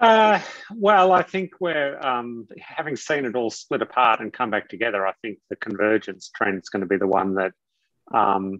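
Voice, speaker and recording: Over a quiet background, a man with an Australian accent speaks with ordinary pitch variation in a dry sound with no echo. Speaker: technology executive and author; guest. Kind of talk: interview. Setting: video call. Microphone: video call.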